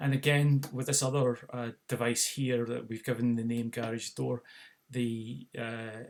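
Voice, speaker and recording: A man with a Scottish accent at a medium pitch, monotone and flat, at a fairly slow pace. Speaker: tech product demonstrator. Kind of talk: tutorial. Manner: halting, many fillers.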